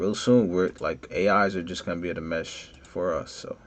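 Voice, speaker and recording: At a moderate pace, a man talks in a very deep, low pitch with vocal fry. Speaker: 3D modeling tutorial creator. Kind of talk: tutorial. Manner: casual, conversational.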